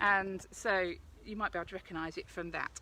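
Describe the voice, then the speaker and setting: A woman with an Essex accent speaks at a moderate pace. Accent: South East Essex. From South East Essex, England. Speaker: forest school practitioner, cooking demonstrator. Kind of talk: live outdoor cooking tutorial. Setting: outdoors by a fire pit, live video. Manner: chatty, casual.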